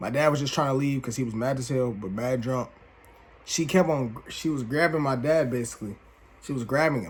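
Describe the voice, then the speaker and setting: In a plain, everyday voice, a man speaks at a fairly quick pace with a medium pitch and ordinary pitch variation. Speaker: YouTuber telling personal stories. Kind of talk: casual story time monologue. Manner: casual, slangy.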